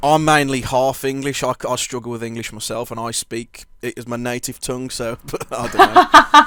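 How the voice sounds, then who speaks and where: A bright, sharp male voice of medium pitch, flat and monotone in intonation, at a moderate pace with big swings in loudness. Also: hardly any pauses. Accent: Birmingham. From English Midlands, Birmingham. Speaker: podcast host, interviewer. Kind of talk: casual interview chat. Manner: halting, many fillers and restarts.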